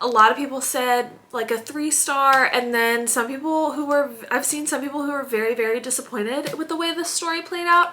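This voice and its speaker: In a raised, projected voice, a woman speaks at a fairly quick pace with a high pitch and ordinary pitch variation. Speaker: book vlogger. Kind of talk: casual vlog chat. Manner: animated.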